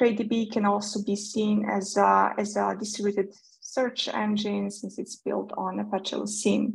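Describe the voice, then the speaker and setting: At a fairly slow pace, a woman speaks in a Serbian accent. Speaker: developer advocate; presenter. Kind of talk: technical talk. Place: home room. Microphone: webcam.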